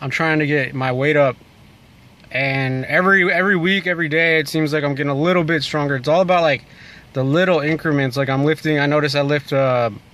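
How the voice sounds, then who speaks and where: A man talks at a very fast pace with fairly even intonation. The sound is dry with no echo. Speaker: vlogger. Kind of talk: casual vlog chat. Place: car.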